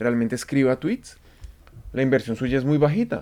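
A man is speaking. His tone is dark and mellow. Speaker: podcast co-host, product manager. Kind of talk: casual chat.

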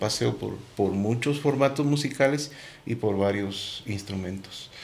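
A man speaks at a fairly slow pace with ordinary pitch variation. Audible room echo surrounds the voice. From Guatemala, Quetzaltenango. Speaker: musician. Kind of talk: interview.

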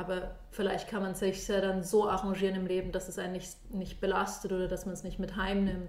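A woman's medium-pitched, monotone, flat delivery at a fairly quick pace, with audible room echo and noticeable background noise. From Munich, Germany. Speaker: design thinking consultant. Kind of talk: casual interview.

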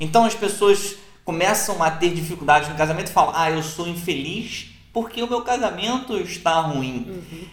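A man's high-pitched voice at a moderate pace, with ordinary pitch variation, big swings in loudness, audible room echo and noticeable background noise. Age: 40s. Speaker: podcast co-host, married couple. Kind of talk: casual chat.

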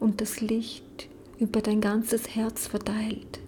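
The tone is calm and soothing, and the pace is very slow. Noticeable background noise runs underneath. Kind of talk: guided meditation. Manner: slow, soft, calm and soothing, with long pauses.

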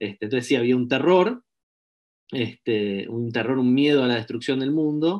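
Using a normal speaking voice, a man talks at a moderate pace in a medium pitch with ordinary pitch variation. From Argentina. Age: 30s. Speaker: social scientist. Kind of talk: interview.

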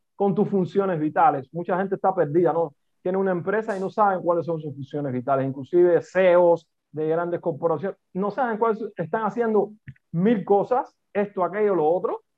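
A man with a high pitch, at a moderate pace. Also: ordinary pitch variation. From Cuba. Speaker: business coach and consultant. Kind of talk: interview conversation.

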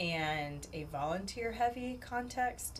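Amid noticeable background noise and audible room echo, a woman talks. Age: 30s. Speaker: podcast host, university staff. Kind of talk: casual chat.

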